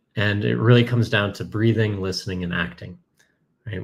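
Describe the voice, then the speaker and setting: In a Canadian accent, a man talks with vocal fry and ordinary pitch variation. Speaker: software company cofounder. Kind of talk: conference talk. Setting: virtual conference presentation.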